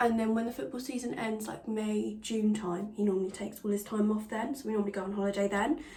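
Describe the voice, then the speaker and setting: Talking very fast with hardly any pauses, a woman with an English accent keeps a fairly high pitch and fairly even intonation, amid audible room echo and noticeable background noise. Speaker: beauty vlogger. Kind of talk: casual tutorial chat.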